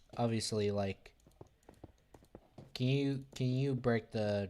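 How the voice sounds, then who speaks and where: A man's dark, mellow tone, fairly even intonation and a very slow pace. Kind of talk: casual gaming livestream chat. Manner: monotone.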